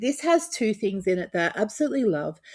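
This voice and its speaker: In an Australian accent, a woman with a fairly high voice speaks with very wide pitch swings. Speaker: tabletop RPG content creator. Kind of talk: casual talk-to-camera overview. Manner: hesitant, many fillers.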